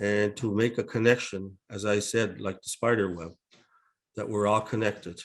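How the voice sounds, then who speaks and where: A man's fairly low, monotone voice with flat intonation, big swings in loudness, a moderate pace and a quiet background. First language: Mi'kmaq. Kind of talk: opening reflection and welcome at a webinar. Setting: online webinar. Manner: halting, with many fillers.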